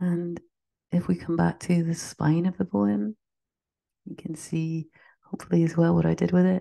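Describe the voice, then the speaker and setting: Lively intonation comes with a warm tone that is also dark and mellow, broken by long, frequent pauses. The sound is dry and close with no echo, over a quiet background. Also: woman, fairly low pitch for a woman. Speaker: poet. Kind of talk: poem reading, slow and reflective, after a chatty intro. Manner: measured, gentle, lyrical; warm, conversational between poems.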